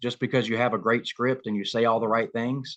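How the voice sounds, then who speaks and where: Against a quiet background, a man talks very fast in a monotone, flat delivery at a medium pitch. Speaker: shop owner and business coach. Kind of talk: webinar presentation. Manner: hesitant, many fillers.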